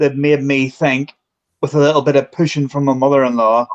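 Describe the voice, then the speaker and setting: The recording is dry and close with no echo as a man with a Belfast accent speaks at a fairly high pitch and moderate pace. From Northern Ireland, Belfast. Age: 40s. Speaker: paranormal investigator. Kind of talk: casual chat.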